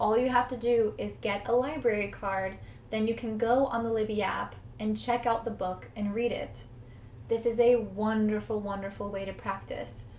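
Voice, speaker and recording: A woman with an American accent, fairly high pitch, monotone, flat intonation and moderate pace, amid noticeable background noise and audible room echo. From United States. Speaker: English teacher. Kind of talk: tutorial.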